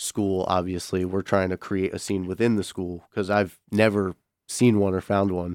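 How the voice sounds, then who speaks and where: At a moderate pace, an American accent delivers flat, monotone intonation over a very clean recording with a silent background. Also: man, very deep, low pitch for a man. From Connecticut. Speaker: student stand-up comedian. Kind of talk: casual chat. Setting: radio studio.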